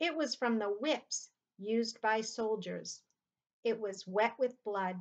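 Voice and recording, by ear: Quiet surroundings, reading aloud in a natural voice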